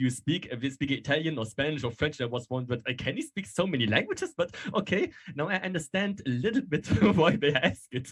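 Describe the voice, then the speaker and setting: Speaking very fast in a German accent, a man sounds somewhat breathy and uses ordinary pitch variation. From northern Germany. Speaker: fan. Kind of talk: casual chat.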